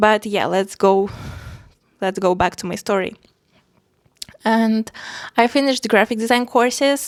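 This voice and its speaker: Fairly high in pitch, a woman speaks at a moderate pace with long, frequent pauses. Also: fairly even intonation. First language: not English. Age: 20s. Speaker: art vlogger. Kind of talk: casual personal vlog. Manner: hesitant, many fillers.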